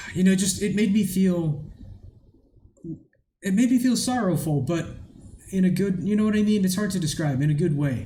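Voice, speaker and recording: A man speaks at a moderate pace with long, frequent pauses, in a high pitch and a dark, mellow tone. His pitch varies in an ordinary way, and audible room echo surrounds the voice. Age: 30s. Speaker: music reaction youtuber. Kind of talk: casual reaction commentary. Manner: halting, many fillers.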